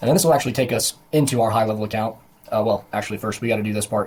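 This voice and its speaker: Very fast and somewhat breathy, a man speaks at a medium pitch. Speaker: digital marketing agency owner and software tutor. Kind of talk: screen-recorded software tutorial. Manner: casual with many fillers.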